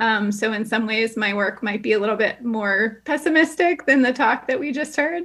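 A normal speaking voice with lively intonation at a moderate pace. There are hardly any pauses. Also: woman, fairly high pitch for a woman. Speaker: psychology professor. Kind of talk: research presentation. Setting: video call.

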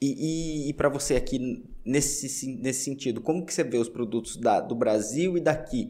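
A man with a dark, mellow tone and fairly high pitch talks at a moderate pace with ordinary pitch variation and hardly any pauses. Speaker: podcast host. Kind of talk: casual interview.

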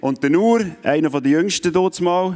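A man's dark, mellow tone. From Switzerland. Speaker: youth event speaker. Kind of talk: sermon.

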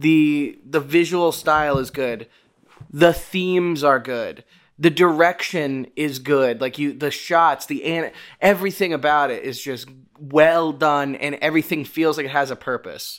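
Fairly high in pitch, a man talks at a fairly slow pace with fairly even intonation in an unremarkable speaking voice. The recording is very clean, with a silent background. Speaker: podcast host. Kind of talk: casual chat. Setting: home recording setup. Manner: joking, stumbling over words.

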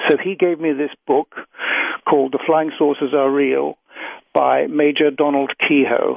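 Here is a man in a British accent with a fairly high pitch. His intonation is monotone and flat. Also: fairly slow pace. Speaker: UFO researcher and author. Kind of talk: interview conversation.

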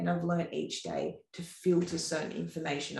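With an Australian accent, the speaker goes at a fairly quick pace amid audible room echo. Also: woman. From Australia, Sawtell, New South Wales. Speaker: ultra-distance paddler, former professional Ironman athlete and dietitian. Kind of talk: casual interview chat. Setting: in-person studio recording.

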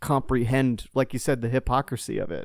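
The recording is very clean with a silent background as a man of medium pitch speaks at a moderate pace. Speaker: podcast host. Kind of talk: casual chat.

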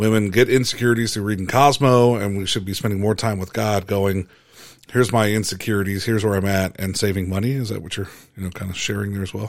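Speaking at a very fast pace, a man uses a fairly low pitch and fairly even intonation. The recording is very clean, with a silent background.

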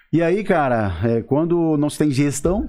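A man's voice carries a dark, mellow tone and ordinary pitch variation over a quiet background. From southern Brazil, Santa Catarina. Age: 30s. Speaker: sales and fashion business consultant. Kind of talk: casual interview chat.

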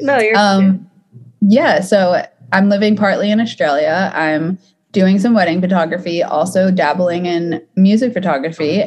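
A woman's somewhat breathy, medium-pitched voice with an American accent, ordinary pitch variation and a fairly slow pace. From US South, Atlanta. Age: 20s. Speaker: photographer. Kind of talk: casual interview chat.

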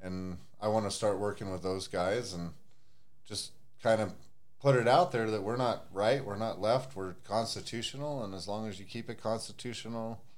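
A fairly low male voice at a moderate pace, pitch varying in an ordinary way

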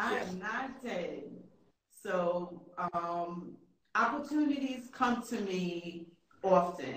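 Amid audible room echo, a woman talks at a very slow pace with lively intonation and long, frequent pauses. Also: medium pitch for a woman. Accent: American. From New York. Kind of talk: interview.

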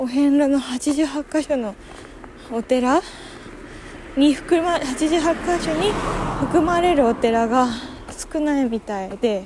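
A woman's high-pitched voice at a very slow pace, with lively intonation. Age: 20s. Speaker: podcaster. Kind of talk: casual solo monologue while walking. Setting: outdoors, walking to a waterfall. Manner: halting, thinking aloud.

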